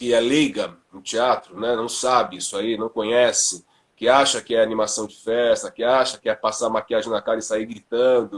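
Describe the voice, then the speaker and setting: Talking at a moderate pace with hardly any pauses, a man keeps a medium pitch and fairly even intonation. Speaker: theatre actor and drama teacher. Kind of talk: casual chat. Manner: loud.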